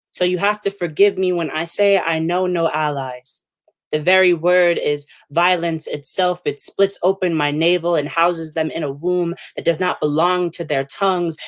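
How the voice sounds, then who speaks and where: A woman with an American accent talks at a moderate pace. Her pitch sits fairly low and her intonation stays fairly even. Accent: New Jersey, sometimes. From New Jersey. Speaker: poet. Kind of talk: spoken word poetry reading.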